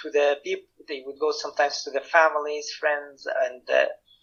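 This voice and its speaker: With a Syrian accent, a man speaks at a moderate pace. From Syria, Damascus. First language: Arabic. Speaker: political activist and researcher. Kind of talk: interview testimony. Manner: halting, many fillers and restarts.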